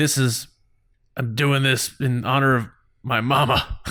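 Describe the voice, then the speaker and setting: Using a put-on character voice, a man speaks raspily at a moderate pace and a medium pitch. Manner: gloating, slurred.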